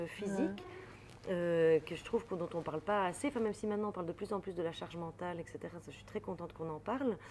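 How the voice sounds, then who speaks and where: A woman's fairly low voice with a slight Belgian accent, very fast pace, ordinary pitch variation and big swings in loudness, over noticeable background noise. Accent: light Belgian French. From Belgium. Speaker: comedian, actress and author. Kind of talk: interview answer.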